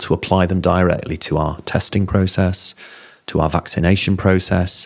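A man with a very deep, low pitch talks at a moderate pace with a Yorkshire accent. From Yorkshire, Bingley. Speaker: health service chief executive. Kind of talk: interview.

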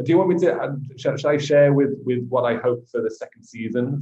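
A man with an English accent is speaking. His pace is moderate. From England. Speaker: missionary and podcast co-host. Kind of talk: casual chat.

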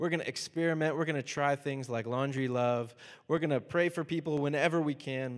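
On a very clean recording with a silent background, a man with an American accent talks in an ordinary speaking voice, his pitch fairly high with ordinary pitch variation. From US South, Miami. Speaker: pastor. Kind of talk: sermon. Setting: church.

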